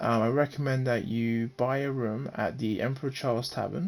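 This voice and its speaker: A man talks at a moderate pace with ordinary pitch variation. Music plays in the background. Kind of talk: game guide voice-over. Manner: hesitant, frequent fillers and stammering.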